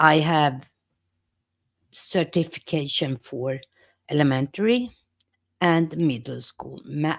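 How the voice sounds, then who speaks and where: A woman with a Swedish accent speaks at a very deep, low pitch with lively intonation. Her pace is very slow, with long, frequent pauses, in a very clean recording with a silent background. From Sweden. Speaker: YouTuber and teacher. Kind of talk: casual live stream talk.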